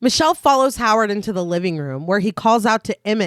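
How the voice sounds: The intonation is lively. It is a natural reading voice.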